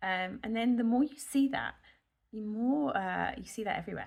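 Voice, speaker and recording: On a very clean recording with a silent background, a woman with a British accent speaks with very wide pitch swings. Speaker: nurse and health vlogger. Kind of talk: casual vlog monologue. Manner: slow, rambling; hesitant with many fillers.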